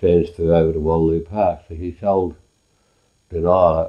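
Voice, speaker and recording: A man with a very deep, low pitch, a dark, mellow tone and a rural Australian accent. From Australia, Wimmera region of Victoria. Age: 80s+. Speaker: elderly farmer recalling family history. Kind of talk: oral history interview. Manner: halting, with frequent repetitions and fillers.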